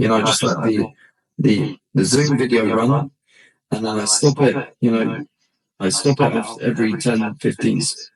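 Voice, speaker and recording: Somewhat breathy, a man talks at a moderate pace in very even loudness. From Britain. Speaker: podcast host and English teacher. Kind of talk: casual chat.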